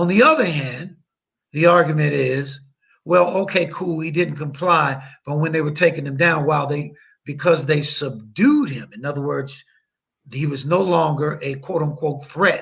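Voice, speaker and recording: A man with an American accent talks at a fairly high pitch and a moderate pace. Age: 60s. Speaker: attorney. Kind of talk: podcast interview. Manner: long-winded.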